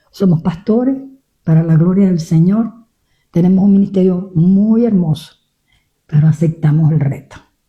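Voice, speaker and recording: Speaking at a moderate pace with long, frequent pauses, a woman with a fairly low pitch sounds somewhat breathy in a dark, mellow tone, keeping very even loudness and ordinary pitch variation. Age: 70s. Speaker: pastor. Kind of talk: testimony. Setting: radio studio interview.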